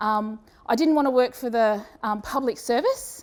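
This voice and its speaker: A woman with an Australian accent talks at a moderate pace. Her voice is high-pitched, with ordinary pitch variation. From Australia, Brisbane. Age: 40s. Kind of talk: conference presentation. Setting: stage with audience. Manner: casual, with many fillers and restarts.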